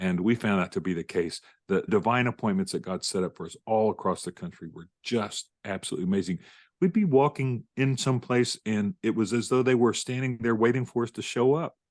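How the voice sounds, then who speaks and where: In a dry, close sound with no echo and a quiet background, a man with an ordinary speaking voice talks at a medium pitch and a fairly quick pace with lively intonation. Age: 60s. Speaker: author and former pastor. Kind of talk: interview conversation.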